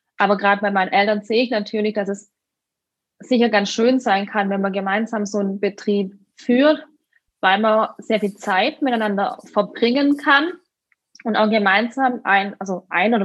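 A woman talks at a moderate pace in an unremarkable speaking voice. Her pitch is fairly high, with ordinary variation. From Württemberg, southern Germany. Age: 30s. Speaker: winemaker. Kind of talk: interview.

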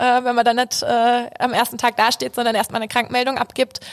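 A woman's high voice at a fairly quick pace, dry and close with no echo. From Hesse, Germany. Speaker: junior bank advisor. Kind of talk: casual interview.

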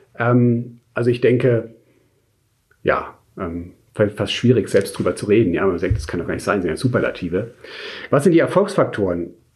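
A man's somewhat breathy voice moves at a moderate pace through very wide pitch swings. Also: medium pitch for a man. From Munich, Germany. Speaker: insurance sales executive. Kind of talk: interview. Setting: in person in Munich. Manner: hesitant with fillers.

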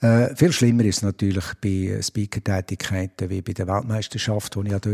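A man's fairly low voice with a dark, mellow tone and fairly even intonation at a moderate pace, in a very clean recording with a silent background and a dry, close sound with no echo. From Switzerland, Biel. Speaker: stadium announcer. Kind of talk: interview. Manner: hesitant, many fillers.

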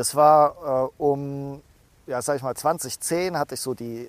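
A man talks very slowly. The recording is dry and close, without any echo. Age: 30s. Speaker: startup founder. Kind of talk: interview. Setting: outdoors. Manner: halting.

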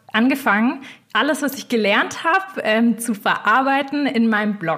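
Through noticeable background noise, a woman speaks with lively intonation at a moderate pace. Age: 20s. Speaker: finance blogger. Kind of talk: interview. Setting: video call.

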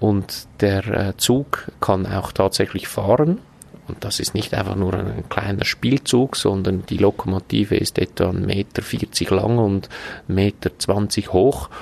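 At a very slow pace and a fairly low pitch, a man talks through noticeable background noise. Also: ordinary pitch variation. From Switzerland, canton Glarus (Braunwald). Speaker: hotel owner and manager. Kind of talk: podcast interview. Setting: outdoors on a restaurant terrace.

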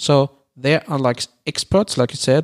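A man speaks with a German accent. The sound is dry and close, with no echo. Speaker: podcast co-host. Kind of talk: casual debate. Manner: halting.

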